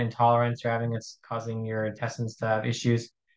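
Here a man with an American accent uses an ordinary speaking voice. His pitch is medium and his pace fairly quick. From US, Arizona. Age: 20s. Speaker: university student with ulcerative colitis. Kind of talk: casual interview.

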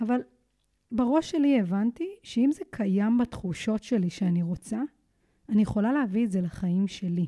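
Speaking at a moderate pace, a woman with a dark, mellow, somewhat breathy tone and a fairly high pitch uses lively intonation in a very clean, dry, close recording with no echo and a silent background. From Israel, Kiryat Tivon. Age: 30s. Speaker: fitness and mental coach, podcast host. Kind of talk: solo motivational podcast monologue.

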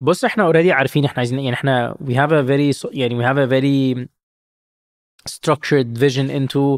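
A man speaks very fast at a fairly high pitch with fairly even intonation, on a very clean recording with a silent background. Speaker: startup founder and CEO. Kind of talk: interview, casual business chat. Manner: frequent fillers, code-switching English and Arabic.

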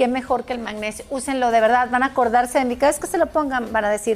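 A woman with a Mexican accent, high-pitched, at a very fast pace. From Mexico. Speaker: former radio presenter and exercise teacher. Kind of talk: casual chat.

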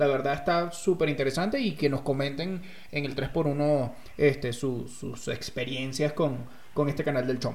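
Fairly high male voice at a moderate pace, fairly even intonation, audible room echo. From Venezuela, rural agricultural state. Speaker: storyteller, guest co-host. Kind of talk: casual chat.

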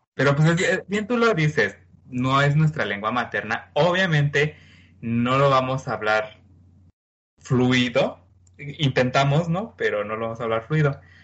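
At a fairly slow pace, a man talks in an unremarkable speaking voice with a fairly high pitch. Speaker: podcast co-host. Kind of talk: casual chat.

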